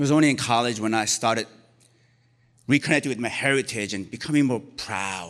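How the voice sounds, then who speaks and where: A man of medium pitch with a Korean accent speaks with ordinary pitch variation. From Korea, moved to US as a child. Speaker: storyteller. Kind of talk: live storytelling. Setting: stage with audience.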